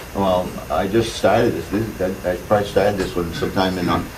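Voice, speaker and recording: With an American accent, a man speaks at a fairly quick pace with a very deep, low pitch and monotone, flat intonation, amid audible room echo and noticeable background noise. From Massachusetts. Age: 60s. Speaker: wood carver. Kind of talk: talk to a seminar audience. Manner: halting, with many fillers.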